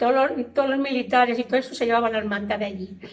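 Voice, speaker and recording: This woman has a high pitch. Her pitch variation is ordinary. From Valencia province, Spain. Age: 80s+. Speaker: elderly interviewee. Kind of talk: oral history testimony.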